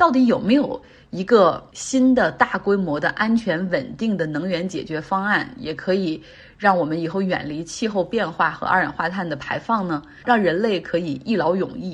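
Against a quiet background, a woman at medium pitch sounds somewhat breathy, her intonation lively. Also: moderate pace. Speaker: podcast host. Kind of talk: solo news commentary. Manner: casual, conversational.

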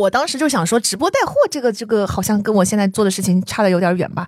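Very fast speech from a woman, fairly high in pitch, with very wide pitch swings. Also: very clean recording, silent background. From southern China. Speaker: podcast host. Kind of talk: interview conversation.

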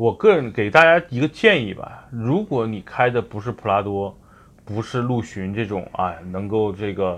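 Using a normal speaking voice, a man talks at a medium pitch and a moderate pace with ordinary pitch variation. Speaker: car advice podcast host. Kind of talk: casual chat.

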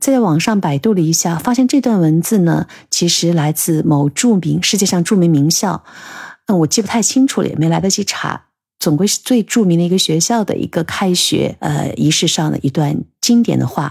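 Her pitch sits fairly low for a woman, and her voice is somewhat breathy. She moves at a moderate pace with lively intonation. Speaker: podcast host. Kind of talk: personal monologue.

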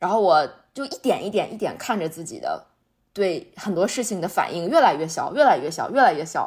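At a fairly quick pace, a woman of medium pitch speaks with very wide pitch swings and big shifts in loudness on a very clean recording with a silent background. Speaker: podcast host. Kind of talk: casual chat.

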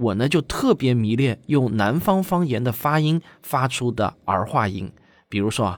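A man talks with lively intonation in an unremarkable speaking voice. The recording is very clean, with a silent background. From Shaoxing, Zhejiang, China. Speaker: science communicator and documentary director. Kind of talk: event announcement to viewers.

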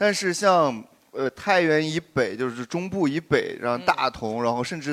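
An unremarkable speaking voice with lively intonation, at a moderate pace. The recording is very clean, with a silent background. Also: man. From southern Shanxi (Jinnan), China. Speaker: podcast guest, performer. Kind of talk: casual group chat before live audience.

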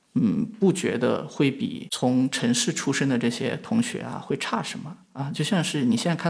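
Vocal fry in a man's fairly high voice at a moderate pace, on a very clean recording with a silent background. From western China. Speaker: media founder, entrepreneur. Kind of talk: reflective interview talk. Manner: frequent fillers, hesitant.

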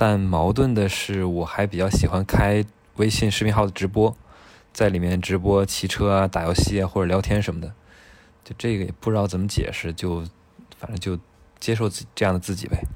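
Fairly quick between long, frequent pauses, a man speaks in a fairly low voice with fairly even intonation. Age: 20s. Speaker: product manager. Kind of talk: casual chat.

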